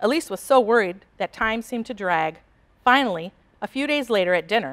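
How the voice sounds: Lively intonation in a natural reading voice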